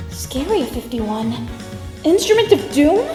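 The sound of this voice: In a cartoonish character voice, a woman speaks slowly at a high pitch with big pitch swings while music plays clearly in the background.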